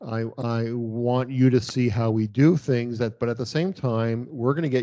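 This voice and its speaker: In a Canadian accent, a man uses a plain, everyday voice at a medium pitch with ordinary pitch variation. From Canada. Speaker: veterinarian and practice owner. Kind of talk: interview.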